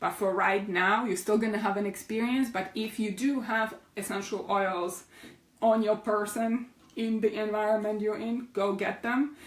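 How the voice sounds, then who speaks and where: Woman with a non-native accent, fairly high pitch and a moderate pace. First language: not English. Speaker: essential oils educator. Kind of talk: online class. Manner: animated.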